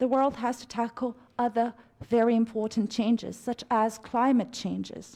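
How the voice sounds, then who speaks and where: On a very clean recording with a silent background, a woman speaks at a moderate pace with a high pitch and a dark, mellow tone. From Romania. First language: Romanian. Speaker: conference speaker. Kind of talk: formal speech. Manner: formal.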